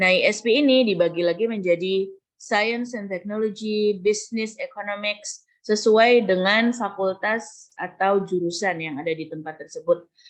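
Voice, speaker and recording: A woman speaks with a Javanese accent at a medium pitch. She talks with hardly any pauses. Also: ordinary pitch variation, moderate pace. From Java, Indonesia. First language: Javanese (speaking Indonesian). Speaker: university lecturer. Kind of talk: lecture. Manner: code-switching Indonesian and English.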